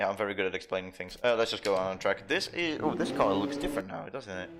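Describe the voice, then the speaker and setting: Music plays behind a man with a Dutch accent and a fairly low pitch. He talks very fast, with lively intonation. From Netherlands, Tilburg. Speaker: gaming live streamer. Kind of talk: live gameplay commentary chatting with viewers. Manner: halting, many fillers.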